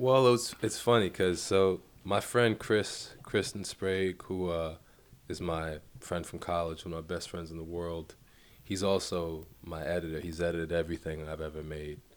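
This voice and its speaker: On a very clean recording with a silent background, a man with a New York accent speaks at a moderate pace in a very deep, low pitch with ordinary pitch variation. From Brooklyn, New York (Bed-Stuy). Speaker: film director. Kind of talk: casual chat.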